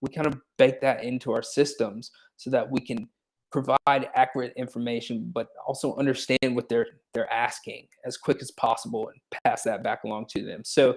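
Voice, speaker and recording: With a slight country accent, a man speaks at a moderate pace, his loudness swinging widely. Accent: slight country twang. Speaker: tech startup co-founder, former court administrator. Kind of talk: interview. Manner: casual, many fillers and repetitions.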